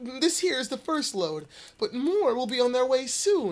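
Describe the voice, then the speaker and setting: A high-pitched voice moves at a moderate pace with very wide pitch swings. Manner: sinister.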